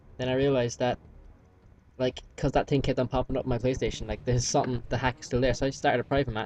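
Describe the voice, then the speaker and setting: A man at a medium pitch, talking at a very fast pace. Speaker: gamer commentating gameplay. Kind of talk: casual gameplay commentary. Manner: halting, many fillers.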